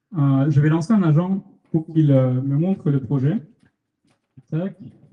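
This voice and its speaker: A man speaks in a fairly high, dark and mellow voice. His pace is fairly slow, with ordinary pitch variation. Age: 20s. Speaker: student startup founder presenting. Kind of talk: meetup tech talk with live demo. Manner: hesitant, many fillers.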